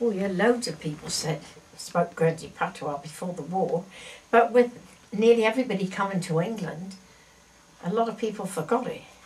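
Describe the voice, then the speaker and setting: The speech has long, frequent pauses, with noticeable background noise behind it. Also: woman, medium pitch for a woman, ordinary pitch variation, moderate pace. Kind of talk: interview answer.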